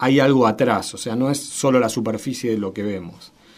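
A man speaks with a Rioplatense accent. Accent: Argentine Spanish (rioplatense). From Argentina, Santa Fe. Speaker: media researcher and university professor. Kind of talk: radio interview. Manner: hesitant, frequent fillers.

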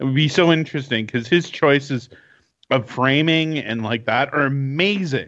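A man with a Canadian accent and an unremarkable speaking voice talks at a moderate pace with fairly high pitch and ordinary pitch variation. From Canada. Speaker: podcast co-host. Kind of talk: casual chat.

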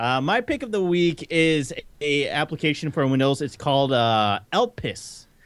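A man with a fairly high pitch speaks at a moderate pace, his intonation lively. He has a normal speaking voice. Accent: American. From Detroit. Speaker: podcast guest. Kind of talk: casual chat. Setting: remote call from home.

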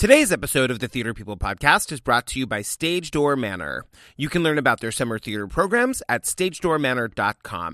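A man speaks fairly quickly at medium pitch with a bright, sharp tone, vocal fry and very wide pitch swings. The recording is very clean and silent in the background, with a dry, close sound and no echo. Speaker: podcast host. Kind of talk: scripted ad read; casual interview. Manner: fast; animated.

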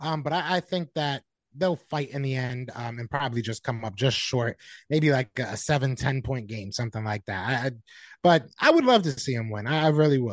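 A man with a plain, everyday voice and an American accent speaks at a medium pitch and fairly quick pace with ordinary pitch variation, in a dry, close sound with no echo and a quiet background. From Connecticut. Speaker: football podcast guest, Eagles fan. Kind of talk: casual sports chat.

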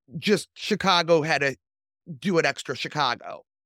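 A woman with an ordinary speaking voice talks at a fairly slow pace with ordinary pitch variation, the sound dry and close with no echo. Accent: American. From Michigan. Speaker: podcast host. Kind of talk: reading aloud; casual chat.

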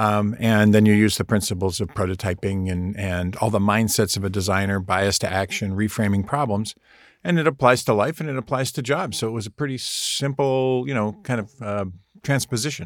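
A man's unremarkable speaking voice, fairly low in pitch with ordinary pitch variation and a fairly quick pace, in a very clean recording with a silent background. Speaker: design professor and author. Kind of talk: interview.

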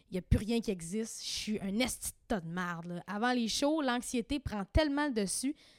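In a Quebec accent, a woman with a fairly high pitch speaks at a moderate pace with lively intonation, recorded with a dry, close sound and no echo. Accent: Québécois French. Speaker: podcast host. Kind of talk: casual chat.

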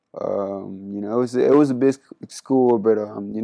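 With a Spanish accent and a dark, mellow tone, a man of medium pitch talks at a fairly quick pace in a monotone, flat intonation. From Panama. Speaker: college basketball player. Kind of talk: interview.

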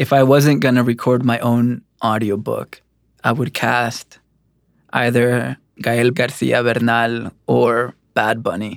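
A man with a Spanish accent speaks very slowly at a medium pitch, his intonation flat and monotone, on a very clean recording with a silent background. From El Salvador. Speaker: poet. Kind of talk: interview monologue about recording audiobook.

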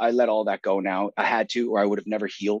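Someone with an Atlantic Canadian accent talks at a fairly quick pace. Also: man, dry, close sound with no echo, quiet background. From Saint John, New Brunswick, Canada. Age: 30s. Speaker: army veteran. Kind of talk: interview.

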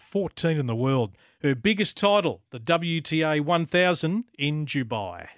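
A man's fairly high-pitched voice with lively intonation, a dry, close sound with no echo, and a very clean recording with a silent background. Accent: Australian. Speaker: radio host. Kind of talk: live radio show hosting.

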